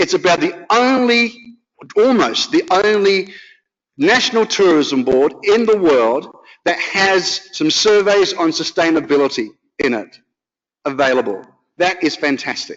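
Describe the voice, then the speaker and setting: A man's high-pitched voice with an Australian accent, a fairly slow pace, and very wide pitch swings. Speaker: professor. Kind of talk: conference talk.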